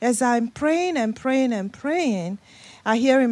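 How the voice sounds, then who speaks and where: A woman speaks in a Nigerian accent. Her intonation is lively. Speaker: guest preacher. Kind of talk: sermon. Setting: church.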